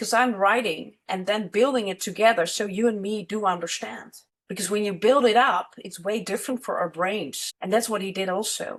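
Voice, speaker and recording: A woman with a Dutch accent, medium pitch, moderate pace, ordinary pitch variation and hardly any pauses. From Netherlands, Amsterdam. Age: 50s. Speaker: money and business mentor. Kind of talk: casual interview chat.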